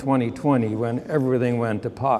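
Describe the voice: A man's medium-pitched, slightly mellow voice with fairly even intonation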